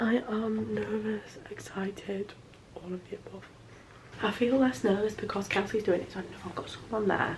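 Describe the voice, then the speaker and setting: Noticeable noise fills the background as a woman talks with an English accent. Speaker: vlogger. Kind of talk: casual vlog talk. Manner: fast, rambling.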